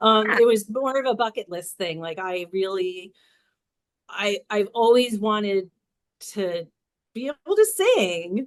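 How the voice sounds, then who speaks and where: A woman speaks with long, frequent pauses and big swings in loudness. Her pitch is fairly high, with ordinary variation. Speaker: domestic violence survivor and advocate. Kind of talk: interview, casual chat. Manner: halting, many fillers.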